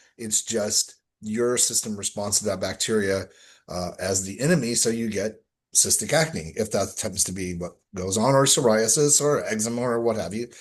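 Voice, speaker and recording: Against a quiet background, a man with an American accent talks at a moderate pace in an ordinary speaking voice, his pitch fairly low with ordinary variation. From Texas. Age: 60s. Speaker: skincare expert and health coach. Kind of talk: interview conversation.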